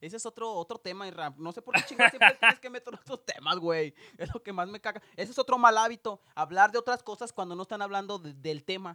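This animated voice goes at a very fast pace with hardly any pauses. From Mexico. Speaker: podcast co-host. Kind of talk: casual chat.

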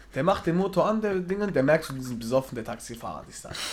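A man at a very fast pace, with an animated tone and lively intonation. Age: 20s. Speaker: podcast co-host and shift worker. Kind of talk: casual chat.

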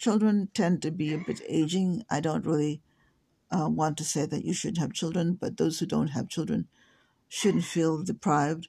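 With an American accent, a woman speaks at a moderate pace in a fairly low pitch, with ordinary pitch variation and vocal fry. The background is quiet. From came to the US in 1970. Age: 60s. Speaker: podcaster. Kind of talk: solo monologue. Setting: home. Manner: halting, many fillers.

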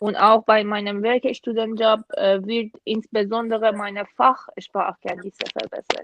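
This woman's fairly high voice moves at a fairly slow pace with hardly any pauses, flat and monotone, in a dry, close sound with no echo. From Iran. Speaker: international student. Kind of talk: casual interview.

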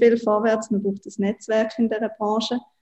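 In a dark, mellow tone, a woman speaks somewhat breathily with monotone, flat intonation. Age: 20s. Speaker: startup co-founder and marketing chief. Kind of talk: interview. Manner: hesitant with frequent fillers.

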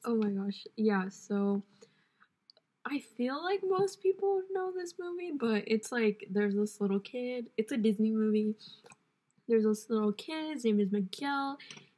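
A woman's fairly high, somewhat breathy voice with a dark, mellow tone, very wide pitch swings and a fairly slow pace. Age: 20s. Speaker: podcast co-host. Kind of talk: casual chat.

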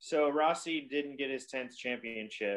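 A man with a plain, everyday voice talks at a fairly high pitch with lively intonation. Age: 20s. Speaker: motorcycle racer. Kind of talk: casual chat.

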